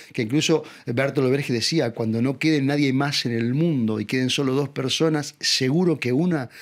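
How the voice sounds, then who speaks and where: A man with a Uruguayan accent at a fairly quick pace. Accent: Rioplatense Spanish (Uruguayan). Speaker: actor. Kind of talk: interview answer.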